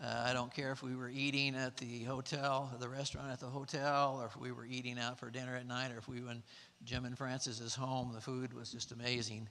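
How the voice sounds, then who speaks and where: A man with a Texas accent speaks in a bright, sharp tone at medium pitch. His intonation is monotone and flat, and his pace is moderate. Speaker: mission trip participant, sponsor. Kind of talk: testimony. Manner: halting, with many fillers.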